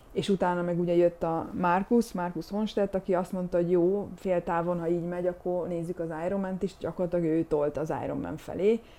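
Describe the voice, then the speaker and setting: A woman with a fairly low pitch talks at a fairly quick pace with hardly any pauses and monotone, flat intonation. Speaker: retired pro triathlete and veterinarian. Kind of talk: casual interview.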